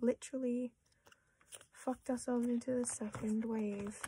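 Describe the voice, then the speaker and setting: With an Australian accent, a woman speaks at a moderate pace in a fairly high pitch. Her tone is dark and mellow, and her intonation is monotone and flat. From Australia, Melbourne. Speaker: collector vlogger. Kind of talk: casual chat. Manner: hesitant, filler-heavy.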